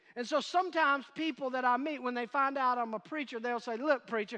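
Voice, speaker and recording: Raised and projected, a man's voice sits at an extremely high pitch with a bright, sharp tone and ordinary pitch variation. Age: 50s. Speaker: pastor. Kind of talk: sermon. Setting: church with in-person and online audience.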